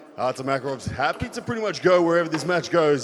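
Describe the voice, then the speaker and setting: Noticeable background noise is present throughout. The words come at a fairly quick pace. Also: man. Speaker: arm wrestling commentator. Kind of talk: live commentary. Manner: loud; animated.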